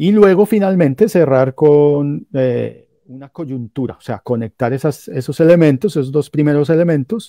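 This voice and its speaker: Against a quiet background, a man speaks with lively intonation, the sound dry with no echo. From Colombia, Cúcuta and Pamplona (Norte de Santander). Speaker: professor and metal journalist. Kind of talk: lecture-style talk in a streamed panel. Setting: video call. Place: home room. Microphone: webcam.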